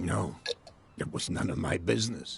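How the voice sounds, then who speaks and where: A man does a put-on character voice that is raspy. He goes at a moderate pace over clear background noise. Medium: game stream. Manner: measured, evasive.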